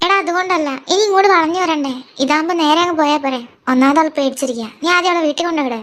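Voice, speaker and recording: A woman's put-on character voice at an extremely high pitch and a very fast pace. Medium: read story. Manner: spirited.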